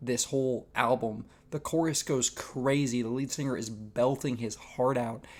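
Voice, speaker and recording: Speech at a moderate pace comes through on a very clean recording with a silent background. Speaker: music reviewer. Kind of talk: casual review monologue. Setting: shared room with other people. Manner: quieter than usual.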